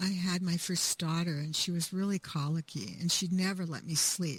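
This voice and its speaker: A woman speaks in a fairly low, somewhat breathy voice. Her intonation is fairly even. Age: 70s. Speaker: author. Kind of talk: interview.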